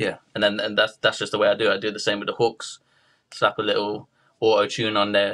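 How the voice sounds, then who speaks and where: A man speaks with a British accent at a fairly quick pace. The background is quiet. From UK. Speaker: rapper. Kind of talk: interview.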